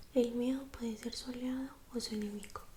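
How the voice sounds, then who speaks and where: The soft-spoken delivery keeps a moderate pace. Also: woman. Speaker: ASMR creator.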